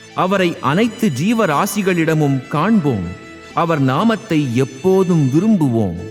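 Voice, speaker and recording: With music in the background, a high-pitched man speaks with lively intonation. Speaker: poet and film lyricist. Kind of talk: devotional story reading.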